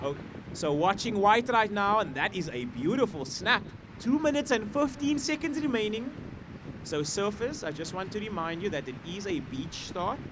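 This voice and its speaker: Loud and high-pitched, a man speaks at a moderate pace with very wide pitch swings over noticeable background noise. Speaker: surf contest announcer. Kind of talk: live commentary.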